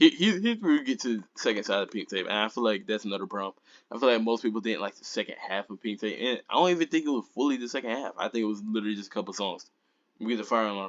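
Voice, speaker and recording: A man talks at a very fast pace in a fairly low pitch with ordinary pitch variation. The sound is dry and close, with no echo. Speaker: music reviewer. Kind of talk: casual commentary. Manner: hesitant, many fillers.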